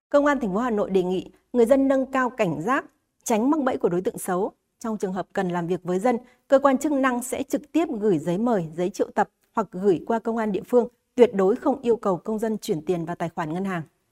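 Fairly high-pitched and lively, a woman with an unremarkable speaking voice talks at a fairly quick clip in a dry, close sound with no echo. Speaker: news presenter. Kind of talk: news reading. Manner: formal.

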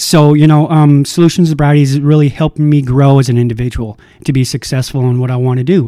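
A man's fairly high voice with an American accent, very fast and with hardly any pauses, in fairly even intonation. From Minnesota. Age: 40s. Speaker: recovery house manager. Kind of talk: personal testimony.

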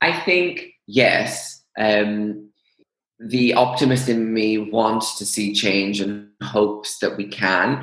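Very slow speech with ordinary pitch variation. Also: man, fairly low pitch for a man. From Greece. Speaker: fashion business consultant. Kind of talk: casual interview. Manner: hesitant with many fillers.

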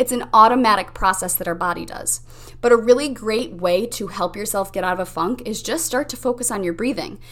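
With a normal speaking voice, a woman talks at a fairly quick pace and fairly high pitch with ordinary pitch variation. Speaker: mindset coach and podcast host. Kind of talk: pep talk. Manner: warm, encouraging, upbeat; guiding, instructive, calm pacing.

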